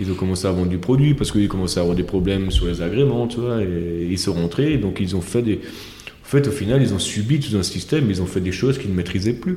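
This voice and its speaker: This man talks at a very fast pace in a fairly low pitch with ordinary pitch variation, over noticeable background noise and audible room echo. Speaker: winemaker. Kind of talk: casual chat. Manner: halting.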